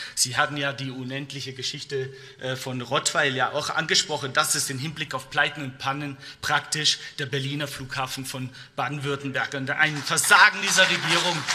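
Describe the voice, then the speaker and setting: The intonation is fairly even. A man delivers it at a moderate pace. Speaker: politician. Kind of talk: parliamentary speech. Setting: parliament chamber. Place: hall. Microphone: podium.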